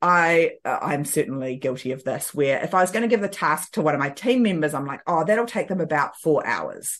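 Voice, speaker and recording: Against a quiet background, a woman with a New Zealand accent and a fairly low voice speaks with lively intonation. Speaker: time management coach. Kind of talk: casual interview.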